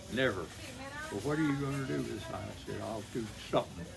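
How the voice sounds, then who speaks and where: A man with an American accent talks at a moderate pace and medium pitch, with audible room echo and noticeable background noise. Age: 80s+. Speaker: retired electrician. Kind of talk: casual chat.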